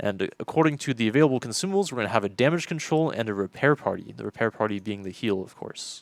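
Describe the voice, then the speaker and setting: Soft-spoken yet with lively intonation, a man talks at a very fast pace. His pitch is medium, and the recording is very clean with a silent background. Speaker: game developer stream co-host. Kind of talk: livestream ship stats walkthrough.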